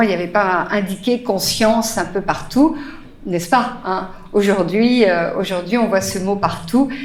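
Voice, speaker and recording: At a fairly slow pace and medium pitch, a woman speaks with ordinary pitch variation, audible room echo, and noticeable background noise. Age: 60s. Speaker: spiritual teacher. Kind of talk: talk to live audience. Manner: hesitant, many fillers.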